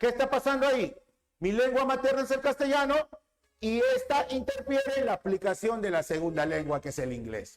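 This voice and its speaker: A man with an extremely high voice speaks fairly quickly, his intonation lively. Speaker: teacher. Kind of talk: lecture.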